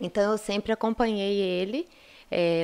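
A woman speaks in a monotone, flat intonation, in a very clean recording with a silent background. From Minas Gerais, Brazil. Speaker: gynecologist and obstetrician. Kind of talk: interview, casual explanation.

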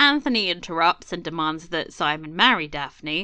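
Speaking at a moderate pace, a woman with an unremarkable speaking voice uses lively intonation. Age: 30s. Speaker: podcast co-host. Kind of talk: casual chat.

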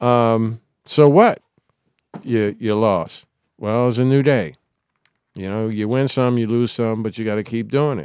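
A man with an American accent talks at a fairly slow pace in a medium pitch, with ordinary pitch variation and long, frequent pauses. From Washington, D.C. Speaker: guest, local entertainment veteran. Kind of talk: casual chat, storytelling. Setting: podcast studio.

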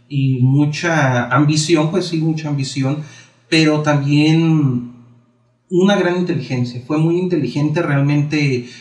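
Audible room echo surrounds a man's fairly high-pitched voice. He speaks at a fairly slow pace with fairly even intonation. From Mexico, Baja California Sur (Cabo San Lucas). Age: 20s. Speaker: historian and writer. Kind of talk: interview.

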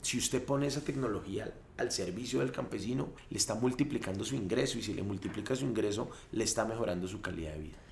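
The speech comes at a very fast pace with lively intonation and a somewhat breathy quality. Audible room echo surrounds it. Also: man, medium pitch for a man. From Colombia, Cundinamarca (Mosquera, Sabana Occidente). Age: 30s. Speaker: politician, gubernatorial candidate. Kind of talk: interview, campaign talk.

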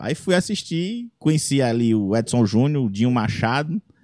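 With an unremarkable speaking voice, a man talks at a moderate pace and medium pitch, his intonation lively and the sound dry and close with no echo. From Brazil, Ceará interior. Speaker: comedian and singer-songwriter. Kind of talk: casual chat. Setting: studio.

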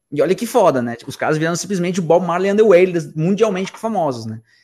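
A man speaks in a high voice with lively intonation, recorded very cleanly against a silent background. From Argentina, Buenos Aires. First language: Spanish (speaking Portuguese). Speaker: musician, band singer and ukulele player. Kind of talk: casual chat.

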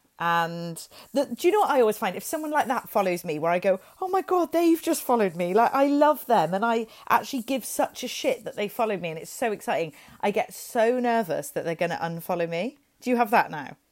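Speaking with a Welsh accent, a woman talks at a fairly quick pace and fairly high pitch with very wide pitch swings. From Wales. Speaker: podcast co-host. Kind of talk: casual chat. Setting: at home, childhood bedroom.

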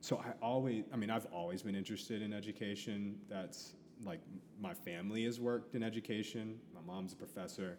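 This man has an unremarkable speaking voice with an American accent. He talks at a fairly quick pace in a fairly low pitch. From US Midwest, Columbus, Ohio. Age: 30s. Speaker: educator. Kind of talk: casual interview chat. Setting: coffee shop.

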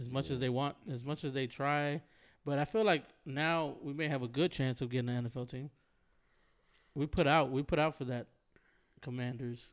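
On a very clean recording with a silent background, a man with a fairly high voice talks at a moderate pace, leaving long, frequent pauses. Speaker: podcast host. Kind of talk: casual chat. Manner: animated.

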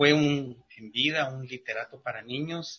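The man talks at a very slow pace. His pitch is medium and his intonation fairly even. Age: 50s. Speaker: writer and former musician. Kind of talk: radio interview. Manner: halting, with many fillers.

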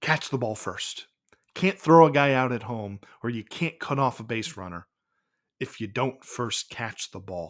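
A man speaks in an unremarkable speaking voice at a medium pitch, fairly slowly, with lively intonation and big swings in loudness. The recording is very clean, with a silent background. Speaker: baseball history podcast host. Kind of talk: narrated game recap podcast.

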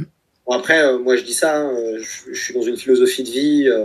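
A man talks at a moderate pace. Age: 30s. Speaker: science fiction columnist and podcaster. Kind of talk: casual interview.

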